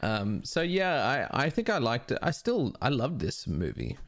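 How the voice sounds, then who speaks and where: A man speaks at a moderate pace with vocal fry. His pitch swings very widely. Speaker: comedian. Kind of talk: casual chat.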